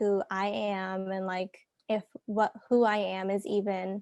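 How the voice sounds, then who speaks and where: A soft-spoken woman at a medium pitch talks in a monotone, flat intonation, with a dry, close sound with no echo and a quiet background. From Canada. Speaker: podcast guest. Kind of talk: casual chat.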